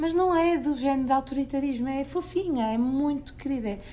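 A woman with a European Portuguese accent, dark and mellow in tone, at a moderate pace amid audible room echo. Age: 40s. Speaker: parenting educator and author. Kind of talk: interview.

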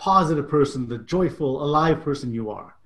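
A man with a fairly high pitch and a somewhat breathy voice talks at a moderate pace with ordinary pitch variation. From immigrant to Canada at age 10. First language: not English. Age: 50s. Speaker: author and coach. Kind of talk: casual interview.

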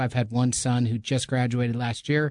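A normal speaking voice at a moderate pace against a quiet background. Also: man. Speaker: podcast host. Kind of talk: podcast intro and interview. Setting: podcast booth.

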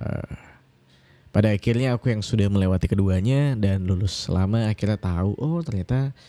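A man's fairly low, dark, mellow voice at a fairly quick pace, with ordinary pitch variation. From Indonesia, Kalimantan. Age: 20s. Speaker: podcast host. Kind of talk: casual solo podcast monologue. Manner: hesitant, many fillers.

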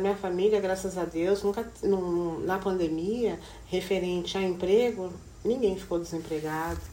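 Amid noticeable background noise and audible room echo, the speech moves at a moderate pace. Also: woman. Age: 40s. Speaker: hairdresser and educational counselor. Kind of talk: casual chat.

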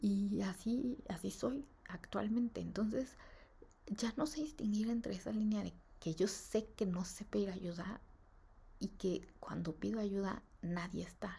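A woman with a Mexican accent speaks at a fairly slow pace in a medium pitch, her tone dark, mellow and somewhat breathy, with ordinary pitch variation. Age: 20s. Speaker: podcaster. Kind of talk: personal monologue. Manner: casual, rambling with fillers.

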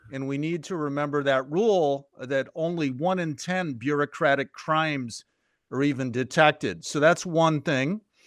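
Using a normal speaking voice with an American accent, a man talks at a moderate pace and a fairly high pitch with ordinary pitch variation, his sound dry and close with no echo against a quiet background. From Chicago. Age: 60s. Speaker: journalist and senior editor. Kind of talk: podcast interview.

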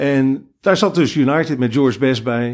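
Recorded very cleanly against a silent background, a man talks in an unremarkable speaking voice at medium pitch with ordinary pitch variation. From Netherlands, Rotterdam. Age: 50s. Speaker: football fan, groundhopper. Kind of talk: casual interview. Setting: attic in Veldhoven.

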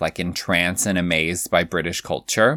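With an American accent, a man speaks at a fairly quick pace in a very clean recording with a silent background and a dry, close sound with no echo. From California, US. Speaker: podcast host, drag cabaret performer. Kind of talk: casual chat, podcast conversation. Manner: animated, playful.

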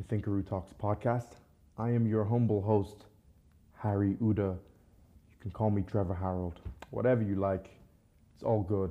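At a moderate pace, a man talks in a fairly low pitch with fairly even intonation and long, frequent pauses. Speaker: podcast host. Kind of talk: casual interview chat.

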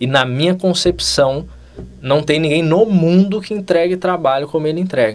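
A man speaks at a moderate pace and a fairly high pitch. He has a plain, everyday voice with ordinary pitch variation. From Brazil, São Paulo state (Vale do Paraíba). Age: 20s. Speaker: dentist, facial aesthetics instructor. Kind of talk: casual interview chat.

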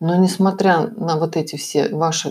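Her voice sits at a fairly low pitch, and the woman keeps a fairly even intonation. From former USSR. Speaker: podcaster and healer coach. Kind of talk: self-help monologue with sales pitch.

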